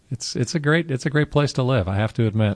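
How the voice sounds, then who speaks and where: A man with an American accent at a fairly quick pace, ordinary pitch variation, and a dry, close sound with no echo. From Carmel, California. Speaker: car event founder. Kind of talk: interview.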